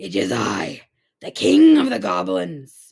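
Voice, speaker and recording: A raspy put-on character voice moves at a fairly slow pace. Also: woman. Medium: read story. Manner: menacing.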